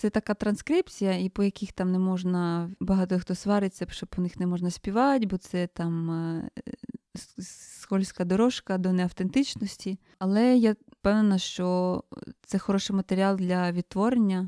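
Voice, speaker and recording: A woman talks at a fairly slow pace and medium pitch, with fairly even intonation and a dark, mellow tone. The sound is dry and close, with no echo. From Ukraine, southern Chernihiv region (village). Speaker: singer, composer and folk singing teacher. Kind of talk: interview.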